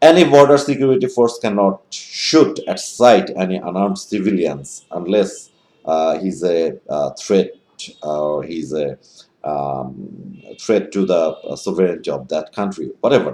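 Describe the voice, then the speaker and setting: A man with a Bengali accent at a fairly slow pace. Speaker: online commentator. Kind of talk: advocacy monologue. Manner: halting, many fillers.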